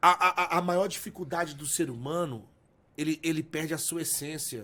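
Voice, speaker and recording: Moderate pace and big swings in loudness from a man with a fairly high pitch and a bright, sharp tone. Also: ordinary pitch variation. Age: 30s. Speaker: pastor. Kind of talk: podcast interview. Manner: halting, frequent stammered repetitions.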